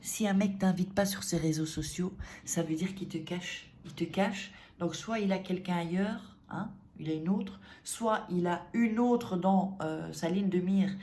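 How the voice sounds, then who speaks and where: With audible room echo around her, a woman talks at a moderate pace and a medium pitch. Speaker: dating coach youtuber. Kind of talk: casual advice vlog. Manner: animated, conversational with many fillers.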